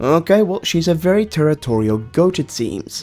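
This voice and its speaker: With music in the background, a man speaks at a moderate pace. His pitch is fairly high and his intonation lively. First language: not English. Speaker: gaming YouTuber. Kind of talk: gameplay commentary.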